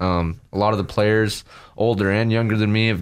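The man speaks with monotone, flat intonation. His pace is fairly quick. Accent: American. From Idaho, US. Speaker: college football player. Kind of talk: radio interview. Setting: studio.

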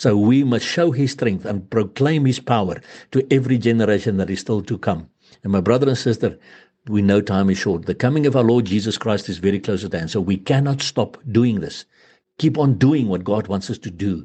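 A man with an unremarkable speaking voice talks at a fairly low pitch. He moves at a fairly quick pace with ordinary pitch variation. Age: 60s. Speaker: preacher. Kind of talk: sermon.

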